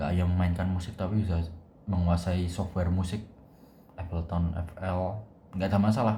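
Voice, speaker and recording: A man's very deep, low voice, dark and mellow in tone and somewhat breathy, fairly quick yet with long, frequent pauses, monotone and flat, in audible room echo. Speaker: university student vlogger. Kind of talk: casual vlog monologue. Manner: casual, thinking aloud with hesitations.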